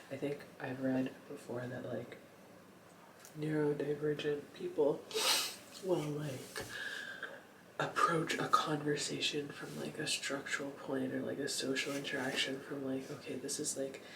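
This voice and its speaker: A man with a fairly high pitch talks in a monotone, flat way with long, frequent pauses, amid noticeable background noise and audible room echo. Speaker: lifestyle vlogger. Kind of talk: casual late-night vlog monologue. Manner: halting, many fillers; whispering.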